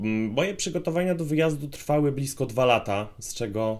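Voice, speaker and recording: A man talks in an unremarkable speaking voice with lively intonation. His pace is moderate. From Poland. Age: 20s. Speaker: paramedic and vlogger. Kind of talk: vlog monologue.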